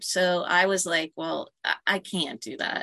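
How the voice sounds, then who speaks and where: Its pitch varies in an ordinary way, and it is a plain, everyday voice. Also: woman. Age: 50s. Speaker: entrepreneur. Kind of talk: casual chat. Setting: on a sailboat.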